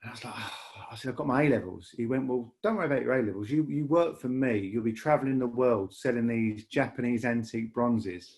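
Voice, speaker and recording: In a Lancashire accent, a man talks at a very fast pace with hardly any pauses and ordinary pitch variation. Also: medium pitch for a man. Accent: Lancashire, northern English. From northern England, Lancashire (Bury). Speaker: rail industry leader. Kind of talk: podcast interview. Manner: halting, many repetitions and fillers.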